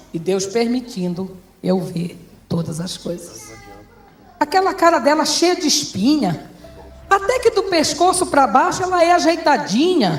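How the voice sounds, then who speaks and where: With music in the background, a woman with a high pitch speaks in an animated tone at a fairly slow pace, her pitch swinging very widely. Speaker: pastor. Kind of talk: testimony.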